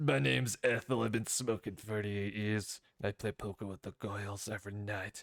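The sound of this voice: In a very clean recording with a silent background, a man uses a put-on character voice at a fairly low pitch, moving at a moderate pace with hardly any pauses.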